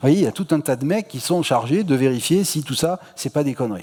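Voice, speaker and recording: A man with a fairly high pitch talks at a moderate pace, his pitch varying in an ordinary way. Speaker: astronomy lecturer. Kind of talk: public lecture. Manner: casual, many hesitations and repetitions.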